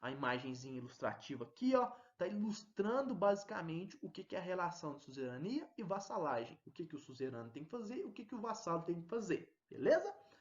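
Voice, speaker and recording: Speaking at a fairly quick pace, a man with a high voice makes very wide pitch swings and big swings in loudness. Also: hardly any pauses. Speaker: teacher. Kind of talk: lecture.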